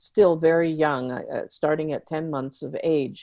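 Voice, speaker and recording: A woman with a very deep, low pitch, in an American accent. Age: 70s. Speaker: therapist and author. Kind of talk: interview.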